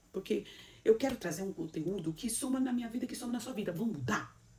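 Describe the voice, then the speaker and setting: This speaker talks at a very fast pace with a Brazilian accent and an animated tone. The voice is somewhat breathy, with ordinary pitch variation. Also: woman. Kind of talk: motivational sermon talk.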